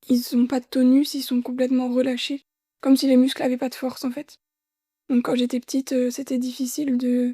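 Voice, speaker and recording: With a dark, mellow tone and high pitch, a woman talks at a moderate pace in a flat monotone, her sound dry and close with no echo. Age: 20s. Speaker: heart transplant patient and midwifery student. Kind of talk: testimony interview.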